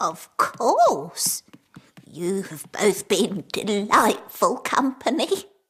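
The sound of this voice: Speaking very slowly, the voice takes on a cartoonish character at a fairly high pitch.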